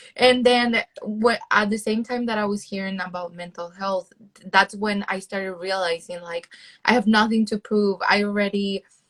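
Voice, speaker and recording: Speaking at a moderate pace with a Spanish accent, a woman uses a medium pitch and fairly even intonation. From El Salvador. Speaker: PhD student and content creator. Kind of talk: interview.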